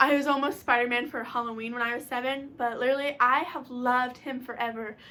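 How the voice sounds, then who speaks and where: At a very fast pace, a woman speaks in a high voice with an animated tone. Her tone is also bright and sharp. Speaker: YouTuber. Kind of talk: casual vlog. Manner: loud, shouting.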